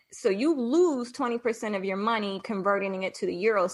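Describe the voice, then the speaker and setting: A woman's medium-pitched voice, an ordinary speaking voice, with an American accent at a fairly quick pace. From Washington DC, US. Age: 40s. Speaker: digital marketing entrepreneur and expat. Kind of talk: interview.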